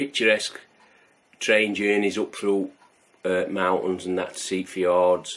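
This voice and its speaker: The speech comes at a moderate pace in a Yorkshire accent, mumbled. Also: man. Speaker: homebrewing video host. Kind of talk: casual vlog chat. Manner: mumbling.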